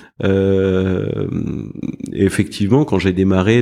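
Intonation stays fairly even in a voice whose tone is dark and mellow. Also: man. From Paris, France. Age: 40s. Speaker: private equity fund president. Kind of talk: interview. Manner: halting, many fillers and repetitions.

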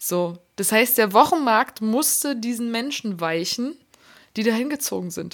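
Here is a woman with a plain, everyday voice, pitched fairly high. She talks at a fairly slow pace. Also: lively intonation, very clean recording, silent background. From Berlin, Germany. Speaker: podcast co-host. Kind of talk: casual chat.

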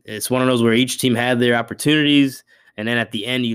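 A plain, everyday voice from a man at medium pitch, fairly quick in pace and fairly even in intonation, on a very clean recording with a silent background. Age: 30s. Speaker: sports podcast host. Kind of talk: solo sports commentary podcast.

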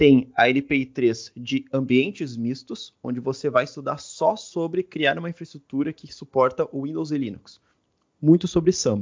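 A man with an ordinary speaking voice and a fairly high pitch talks at a fairly slow pace, his pitch varying in an ordinary way while his loudness swings widely. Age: 20s. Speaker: DevOps engineer and tech content creator. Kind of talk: casual interview.

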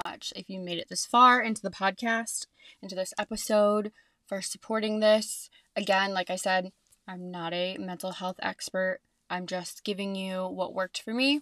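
Speaking in an ordinary speaking voice, a woman talks at a medium pitch and moderate pace, with fairly even intonation. Her loudness swings widely, and the sound is dry and close with no echo. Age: 20s. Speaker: podcast host and hairstylist. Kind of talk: casual solo monologue. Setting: home closet with podcast mic. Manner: chatty with many fillers.

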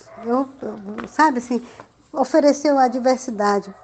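A woman talks fairly slowly with ordinary pitch variation while noticeable background noise sits underneath. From interior of Amazonas, Brazil (Alto Solimões). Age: 50s. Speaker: children's author and storyteller. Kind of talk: interview.

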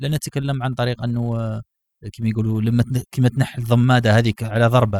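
Monotone and flat, the speech moves at a fairly quick pace with a dry, close sound and no echo. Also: man, medium pitch for a man. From Algeria. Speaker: podcast host. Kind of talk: casual chat.

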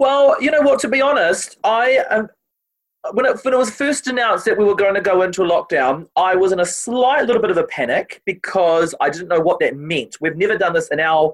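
A man's high voice with a New Zealand accent, fairly quick, with very wide pitch swings and very even loudness. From New Zealand, Māori family. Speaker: TV presenter and opera singer. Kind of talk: casual interview. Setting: video call.

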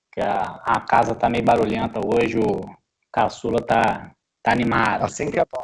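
This man's pitch sits in the medium range. His intonation is flat and monotone. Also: moderate pace. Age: 40s. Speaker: football pundit. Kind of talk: casual sports discussion.

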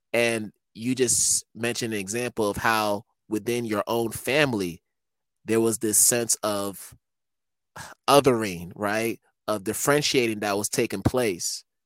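This man talks at a fairly slow pace with medium pitch and fairly even intonation in an ordinary speaking voice. The sound is dry and close, with no echo. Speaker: podcast host. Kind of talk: interview conversation.

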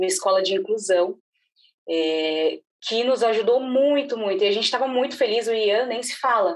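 A woman speaks in an ordinary speaking voice. Her pitch is fairly high and her pace moderate. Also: lively intonation. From Brazil, São Paulo. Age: 30s. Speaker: marketing agency director and mother. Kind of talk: casual interview.

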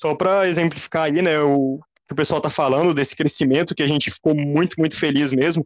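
A man with a Goiás accent talks at a fairly quick pace and fairly high pitch in a flat monotone, the sound dry and close without echo. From Goiás, Brazil. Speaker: computer engineering student. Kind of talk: casual interview.

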